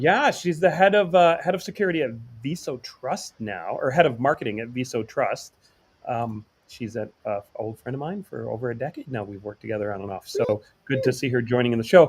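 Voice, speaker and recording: At a fairly quick pace, a man with a medium pitch and a somewhat breathy voice speaks with lively intonation and big swings in loudness. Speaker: podcast host. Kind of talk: casual chat.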